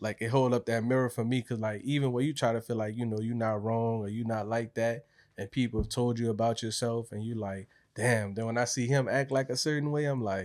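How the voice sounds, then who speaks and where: In a very clean recording with a silent background, a man at medium pitch speaks at a fairly quick pace. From New Orleans, Louisiana. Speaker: clothing brand founder. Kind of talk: casual interview.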